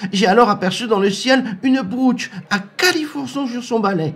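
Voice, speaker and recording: Using a put-on character voice, a man sounds anxious, his pitch extremely high, at a moderate pace. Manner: anxious, whimpering.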